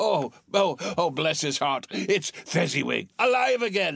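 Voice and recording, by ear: A man's put-on character voice, fairly high and fairly bright, with a slightly husky edge, vocal fry, big pitch swings and a fairly slow pace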